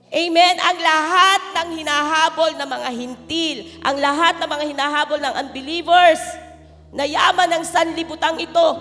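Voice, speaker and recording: A woman speaks in a raised, projected voice with an extremely high pitch. Her intonation is fairly even and her pace moderate. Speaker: pastor. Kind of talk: sermon.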